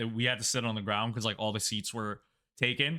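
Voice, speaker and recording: On a very clean recording with a silent background, a man speaks loudly at a medium pitch. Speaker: YouTuber / content creator. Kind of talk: casual vlog narration. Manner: casual with many fillers.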